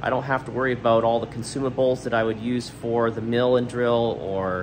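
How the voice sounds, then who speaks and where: A man is talking. Light background noise is present. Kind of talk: casual vlog chat. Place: workshop. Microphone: phone near.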